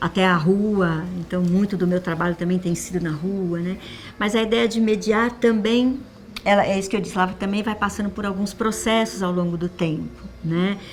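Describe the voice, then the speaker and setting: Noticeable background noise accompanies a woman at a medium pitch who speaks at a moderate pace with fairly even intonation. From Brazil, São Paulo. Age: 60s. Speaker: literature teacher and reading mediator. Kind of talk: testimony. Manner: conversational, frequent 'né?' tags and self-restarts.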